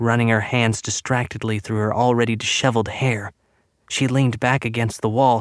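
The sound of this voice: Intonation holds fairly even in an unforced reading voice. Nothing much stirs in the quiet background.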